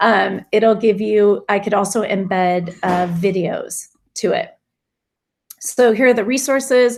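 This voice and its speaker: A woman speaks in a plain, everyday voice at a fairly slow pace. Her pitch is medium, with ordinary pitch variation. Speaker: teacher giving a staff tech workshop. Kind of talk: tutorial.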